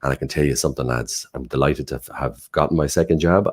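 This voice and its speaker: In an Irish accent, a man speaks at a very fast pace, his very deep, low voice carrying vocal fry and fairly even intonation. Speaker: online show host. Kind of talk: live show introductions.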